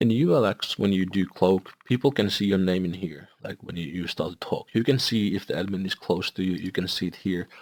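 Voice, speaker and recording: A man with a non-native accent and a very deep, low voice talks at a fairly quick pace with hardly any pauses, the sound dry and close with no echo on a very clean recording with a silent background. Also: ordinary pitch variation. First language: not English. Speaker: gaming video creator. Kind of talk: software tutorial review. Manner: halting.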